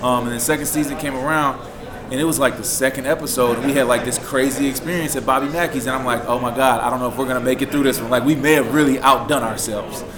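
A man speaks very fast at a medium pitch in a flat monotone, with noticeable background noise. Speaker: paranormal investigator, TV cast member. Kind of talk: casual group interview.

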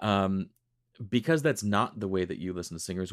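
In a very clean recording with a silent background, a man with an American accent speaks in a plain, everyday voice at a fairly low pitch and a fairly quick pace, with ordinary pitch variation. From Western New York, Rochester. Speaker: podcast host and singer. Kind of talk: interview.

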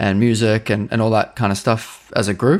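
A man with an Australian accent and a fairly low pitch, at a moderate pace and with fairly even intonation, on a very clean recording with a silent background. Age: 20s. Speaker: guitarist and singer in a band. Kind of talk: casual interview.

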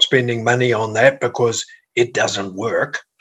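Speaking at a moderate pace, a man talks with a New Zealand accent. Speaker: former politician and policy advisor. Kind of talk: interview.

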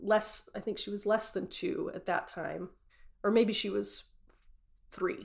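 A woman speaks at medium pitch. Her pitch varies in an ordinary way. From US West (Utah). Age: 30s. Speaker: storyteller sharing personal faith journey. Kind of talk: personal testimony. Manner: casual, with filler words.

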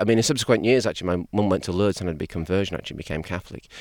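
A man with an English accent talks at a fairly low pitch with ordinary pitch variation. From England. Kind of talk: interview conversation.

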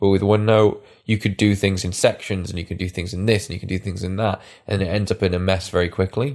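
Talking at a very fast pace, this man has a fairly low voice. His intonation is monotone and flat. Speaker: podcast co-host. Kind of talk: casual chat.

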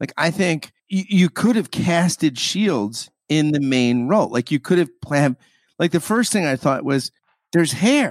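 On a very clean recording with a silent background and a dry, close sound with no echo, a man with a normal speaking voice talks fairly slowly at a fairly high pitch with lively intonation. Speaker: podcast host. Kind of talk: casual chat.

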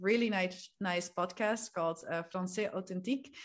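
With a Dutch accent, a woman speaks at a moderate pace in a medium pitch, her intonation fairly even. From Netherlands. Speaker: language coach. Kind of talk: casual interview.

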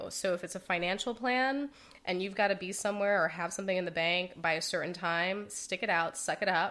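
A woman with a New York accent, medium pitch, a bright, sharp tone and a moderate pace. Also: very clean recording, silent background. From New York, the Bronx. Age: 40s. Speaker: realtor, former creative director. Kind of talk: casual interview.

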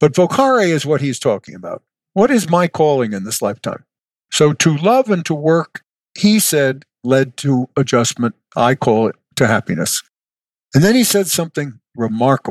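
With an American accent and very wide pitch swings, the speaker keeps a moderate pace in a dry, close sound with no echo. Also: man, fairly high pitch for a man. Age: 70s. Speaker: author and family wealth advisor. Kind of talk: interview.

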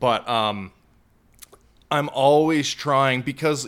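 Speaking at a fairly slow pace with ordinary pitch variation, a man with an unremarkable speaking voice is heard on a very clean recording with a silent background. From Newfoundland, Canada. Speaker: musician and podcast host. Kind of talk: casual chat.

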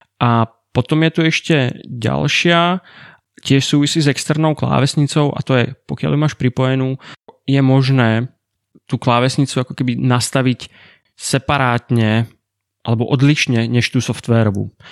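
Dry and close with no echo, a man speaks with a Slovak accent at a fairly slow pace. His medium pitch has ordinary variation. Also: very even loudness. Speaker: tech podcast co-host. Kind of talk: casual chat.

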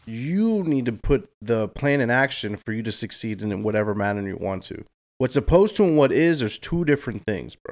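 On a very clean recording with a silent background, a man talks in an ordinary speaking voice at a medium pitch with lively intonation. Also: fairly quick pace. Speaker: podcast co-host. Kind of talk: casual chat.

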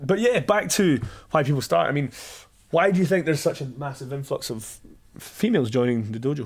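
In a very clean recording with a silent background, a somewhat breathy man of fairly high pitch talks at a fairly quick pace with very wide pitch swings. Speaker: karate teacher and podcast host. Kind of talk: casual chat.

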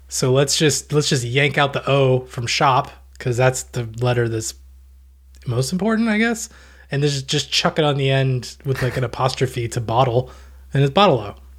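A somewhat breathy voice speaks in an American accent at a moderate pace, with ordinary pitch variation. The recording is very clean and the background silent. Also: man, medium pitch for a man. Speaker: podcast co-host. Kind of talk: casual chat.

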